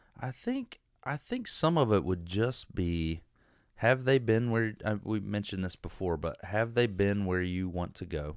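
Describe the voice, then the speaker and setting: With a plain, everyday voice, a man speaks fairly slowly at a fairly low pitch and ordinary pitch variation. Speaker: real estate investor. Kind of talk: casual chat.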